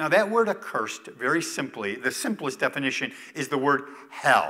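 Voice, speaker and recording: A man with an American accent, raised and projected, bright and sharp in tone, with very wide pitch swings at a moderate pace. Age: 60s. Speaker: retired pastor. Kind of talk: sermon. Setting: church.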